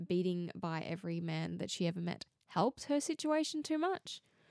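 A woman with an Australian accent at a medium pitch, very wide pitch swings and a moderate pace. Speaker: true crime podcaster. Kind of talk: scripted-style true crime narration.

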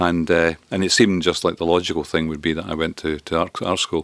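In a dry, close recording with no echo, a man with a very deep, low pitch talks at a very fast pace. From Scotland. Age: 60s. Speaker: retired professor and political blogger. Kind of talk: casual interview chat.

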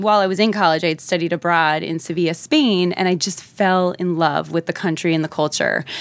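A woman with a New Jersey accent speaks at a fairly quick pace. Her pitch is fairly low, her intonation fairly even. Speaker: nonprofit founder. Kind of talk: casual interview chat.

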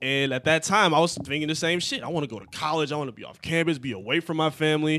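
A man's fairly high, bright and sharp voice at a very fast pace, with ordinary pitch variation, hardly any pauses and a quiet background. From Michigan, Detroit suburbs. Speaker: podcast co-host. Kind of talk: casual chat.

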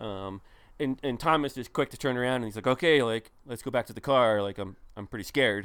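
A man with a normal speaking voice and an American accent talks at a fairly quick pace, medium in pitch with ordinary pitch variation. The recording is very clean and the background silent. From northern New Jersey. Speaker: ultrarunner and coach. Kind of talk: casual chat.

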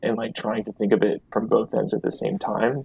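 A man speaks at a moderate pace in a fairly low voice, the sound dry and close with no echo. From US Midwest, southeast Iowa. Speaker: writer. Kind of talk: interview.

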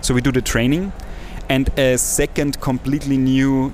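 Against noticeable background noise, a man speaks at a moderate pace with a medium pitch and fairly even intonation. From Austria, villages near Salzburg. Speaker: social entrepreneur and agency CEO. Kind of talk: interview.

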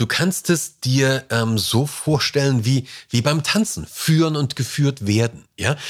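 Over a silent background in a very clean recording, a man speaks very slowly at a medium pitch, with ordinary pitch variation and very even loudness. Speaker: podcast host on leadership and communication. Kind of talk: solo podcast monologue. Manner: casual, conversational with fillers.

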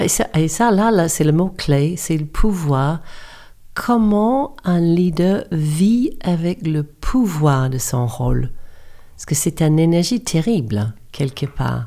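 In a New Zealand accent, a woman speaks at a very slow pace with fairly low pitch and very wide pitch swings. Her tone is dark and mellow, on a very clean recording with a silent background. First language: English (speaking French). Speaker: coach and yoga teacher. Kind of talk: interview. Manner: halting.

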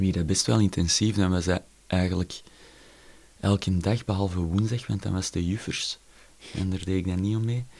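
With a Flemish accent, a man speaks at a very deep, low pitch using fairly even intonation and long, frequent pauses. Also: moderate pace. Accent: Flemish Dutch. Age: 30s. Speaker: jazz drummer. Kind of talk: casual interview.

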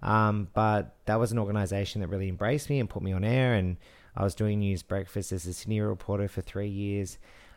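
In a very clean recording with a silent background, a man speaks with an Australian accent. His pitch is fairly low, his pace fairly quick and his intonation fairly even. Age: 30s. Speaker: TV news presenter and podcast co-host. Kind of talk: casual chat. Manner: polished broadcaster delivery.

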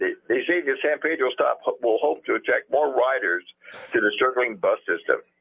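The speech moves at a moderate pace. Its loudness stays very even throughout. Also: man. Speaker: caller. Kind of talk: casual chat. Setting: phone call.

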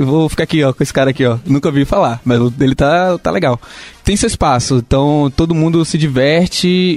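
Over music in the background, a man talks at a fairly quick pace with a fairly high pitch and very even loudness. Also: ordinary pitch variation. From Salvador, Bahia. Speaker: software company employee. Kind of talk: casual chat.

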